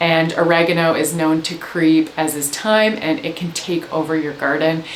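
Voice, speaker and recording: Speaking at a moderate pace with a Canadian accent, a woman has a fairly low pitch and ordinary pitch variation, with audible room echo and light background noise. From Canada. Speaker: gardening educator. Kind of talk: tutorial. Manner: animated. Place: home room.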